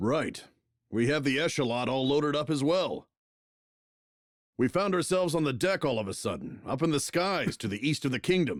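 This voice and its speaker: Putting on a character voice, a man speaks at a moderate pace with lively intonation and a fairly high pitch, leaving long, frequent pauses. The recording is very clean with a silent background. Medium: game stream.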